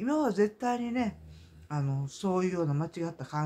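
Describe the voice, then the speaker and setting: A man talks in a Kansai accent. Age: 60s. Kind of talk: casual monologue vlog. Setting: at home, in pajamas. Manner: halting, many fillers.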